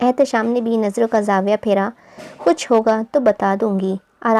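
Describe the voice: The passage is read aloud plainly.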